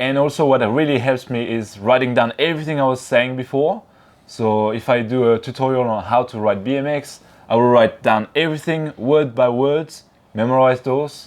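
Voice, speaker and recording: This man speaks in a French accent at a moderate pace. His pitch is medium and his intonation fairly even. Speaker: BMX YouTuber. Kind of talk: interview.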